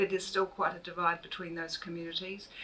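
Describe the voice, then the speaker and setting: Amid noticeable background noise, a woman with a New Zealand accent speaks fairly low in pitch with monotone, flat intonation. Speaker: author and university lecturer. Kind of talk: public book talk. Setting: bookshop event with audience.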